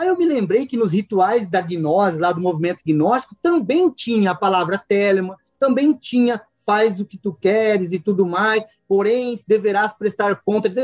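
Speaking at a moderate pace, a man uses a high pitch and an animated tone, recorded dry and close with no echo. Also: ordinary pitch variation. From interior of São Paulo state, Brazil. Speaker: occultist and martial artist. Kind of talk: interview. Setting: video call.

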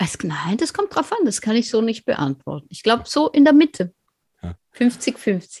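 A woman speaks at a fairly slow pace and fairly high pitch, with vocal fry, very wide pitch swings, and big swings in loudness. The sound is dry and close, with no echo. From eastern Switzerland. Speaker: author. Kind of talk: interview.

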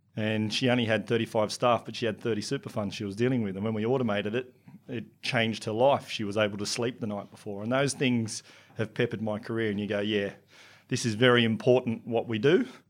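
Very fast, monotone and flat speech from a man with an Australian accent at a medium pitch, on a very clean recording with a silent background. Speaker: business technology consultant. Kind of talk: interview.

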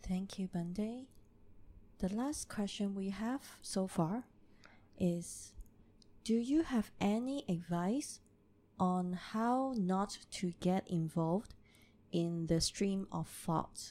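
A woman speaks at a medium pitch in a dark, mellow tone, with ordinary pitch variation. She goes at a very slow pace with long, frequent pauses, on a very clean recording with a silent background. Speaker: session moderator reading audience questions. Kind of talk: reading out questions.

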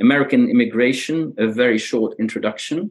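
Ordinary pitch variation marks a man speaking with a slight Belgian accent. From Belgium. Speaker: economics professor. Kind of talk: interview. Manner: halting, many repetitions.

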